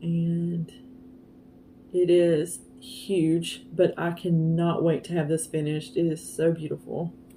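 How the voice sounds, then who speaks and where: A woman speaks very slowly at a fairly low pitch, her tone dark and mellow. Her voice is somewhat breathy, with fairly even intonation. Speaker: craft vlogger. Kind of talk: casual show-and-tell vlog. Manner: halting, stumbling over words.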